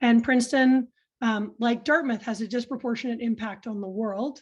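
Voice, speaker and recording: Against a quiet background, a woman with a high pitch talks at a fairly quick pace. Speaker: university sustainability director. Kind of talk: webinar moderator introduction. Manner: frequent filler ums.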